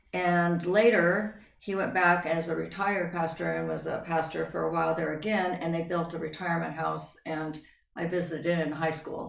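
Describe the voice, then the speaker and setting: A woman with an American accent and a fairly low pitch speaks at a moderate pace with fairly even intonation and hardly any pauses, in audible room echo. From Northern California, then Idaho. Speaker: interview guest. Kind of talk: life story interview.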